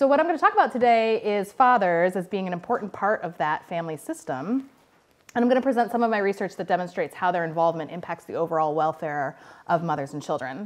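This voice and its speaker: A woman speaks at a very fast pace. Her pitch swings very widely. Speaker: guest researcher lecturer. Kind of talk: lecture. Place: classroom.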